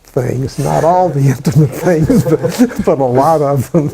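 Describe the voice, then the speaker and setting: Over noticeable background noise, a man with an American accent speaks at a fairly high pitch, with ordinary pitch variation and a fairly slow pace. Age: 80s+. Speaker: veteran. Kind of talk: oral history interview. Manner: halting.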